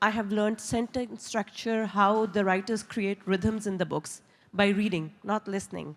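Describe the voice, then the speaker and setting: Speaking at a moderate pace, a woman with a non-native accent has a medium pitch. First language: not English. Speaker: audience member, editor and writer. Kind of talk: audience question.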